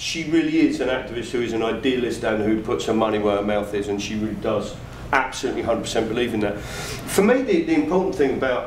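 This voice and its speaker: A man talks at a fairly quick pace and medium pitch with ordinary pitch variation. Noticeable background noise and audible room echo fill the recording. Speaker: comedian and activist performer. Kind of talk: post-show talkback.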